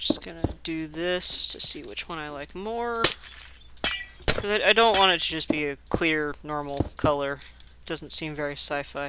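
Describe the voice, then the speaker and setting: A man's fairly high pitch with ordinary pitch variation at a moderate pace, over noticeable background noise. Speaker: Minecraft builder. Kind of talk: casual gameplay commentary.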